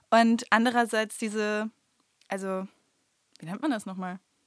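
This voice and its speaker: A woman with a plain, everyday voice and fairly high pitch talks at a moderate pace on a very clean recording with a silent background. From Germany, Münsterland (Stadtlohn). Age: 20s. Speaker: amateur stage actress and nursery teacher. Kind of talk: casual podcast interview. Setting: recording studio.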